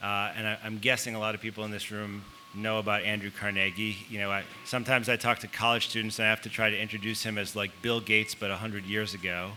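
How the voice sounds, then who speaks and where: Over music in the background, a man with an American accent talks at a very fast pace. His pitch is fairly low and his intonation monotone and flat. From Chicago, US Midwest. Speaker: author. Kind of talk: panel talk. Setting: stage with audience. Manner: halting, many fillers.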